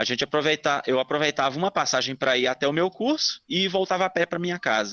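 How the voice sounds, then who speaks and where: Speaking very fast with hardly any pauses, a man with a Minas Gerais accent keeps his loudness very even while his fairly high voice moves with lively intonation. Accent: Minas Gerais accent, evident. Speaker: listener telling a paranormal story. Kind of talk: personal testimony.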